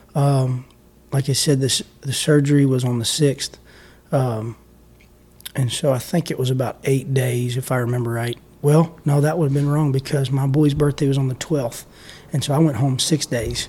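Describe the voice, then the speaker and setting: At a moderate pace, a man speaks in a dark, mellow, somewhat breathy voice of medium pitch, his intonation monotone and flat. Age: 30s. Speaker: pastor. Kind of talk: testimony. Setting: call.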